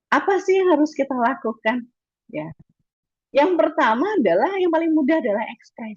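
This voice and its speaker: This woman has a high pitch and a slight Madurese accent. She moves at a moderate pace with lively intonation. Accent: slight Madurese tinge. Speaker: webinar speaker on educational communication. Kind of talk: lecture. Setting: video call. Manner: casual, chatty.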